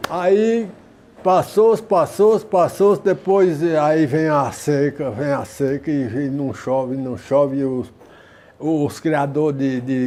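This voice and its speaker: The speaker talks at a very slow pace. Pitch variation is ordinary. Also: man. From Ceará, Brazil. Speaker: leather craftsman, saddler. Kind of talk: interview answer.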